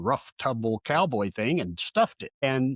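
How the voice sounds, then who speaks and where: A man speaks in a Southeast Colorado accent. His pace is moderate. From southeast Colorado, US. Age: 60s. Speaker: relationship coach. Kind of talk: interview. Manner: halting.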